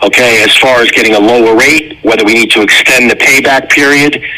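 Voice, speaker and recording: With noticeable background noise, a man at a medium pitch speaks at a moderate pace with ordinary pitch variation. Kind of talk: radio ad interview.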